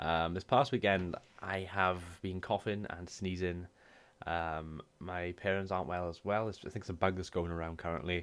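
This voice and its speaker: A man with a Welsh accent speaks in a very deep, low pitch at a moderate pace. His intonation is fairly even, and the recording is very clean with a silent background. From Wales. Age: 20s. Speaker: gaming YouTuber and streamer. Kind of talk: casual talk to camera.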